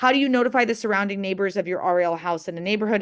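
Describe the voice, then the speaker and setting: Against a quiet background, a woman speaks at a medium pitch. Her intonation is lively. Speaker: assisted living business trainer. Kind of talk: webinar Q&A. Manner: fast.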